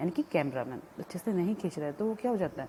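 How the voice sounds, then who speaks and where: A woman speaks at a medium pitch with a non-native accent. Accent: weak Hindi, self-described. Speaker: college lecturer. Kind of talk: lecture. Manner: halting, with fillers.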